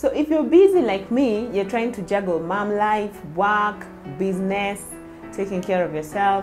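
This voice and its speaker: Faint music plays in the background. A woman speaks over it at a moderate pace. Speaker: cooking vlogger. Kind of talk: casual vlog intro. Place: home room. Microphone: lapel.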